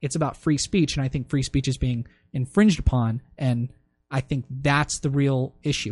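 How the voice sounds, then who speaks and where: Against a quiet background, a man with a somewhat breathy, fairly high voice speaks at a moderate pace with ordinary pitch variation. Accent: American. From US, Maryland. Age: 20s. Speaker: business school student. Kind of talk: casual chat.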